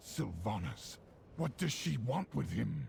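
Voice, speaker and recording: A growling put-on character voice at a fairly slow pace, with clear background noise. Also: man, fairly low pitch for a man. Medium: video game. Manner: grave, intense.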